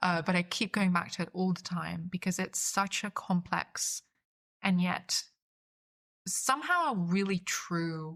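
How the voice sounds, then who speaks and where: A woman speaks with monotone, flat intonation at a fairly low pitch. Her voice is somewhat breathy. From Austria, Vienna (born in Budapest). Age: 20s. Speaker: polyglot writer and cultural entrepreneur. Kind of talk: podcast interview. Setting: podcast. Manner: halting, many fillers and repetitions.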